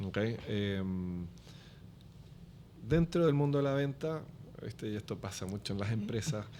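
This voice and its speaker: Long, frequent pauses in a dark, mellow tone, at a fairly slow pace with lively intonation. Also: man, fairly low pitch for a man. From Chile. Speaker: business development executive. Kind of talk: podcast interview.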